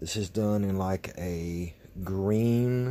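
A man's dark, mellow tone at a fairly low pitch. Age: 40s. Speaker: knife review YouTuber. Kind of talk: casual product review vlog. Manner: hesitant, many ums. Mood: pleased, warm. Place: home room.

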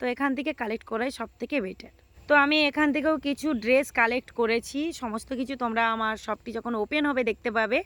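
The woman's high-pitched voice has ordinary pitch variation, with a dry, close sound and no echo. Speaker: shopping vlogger. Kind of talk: walking market vlog. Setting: outdoors at street market.

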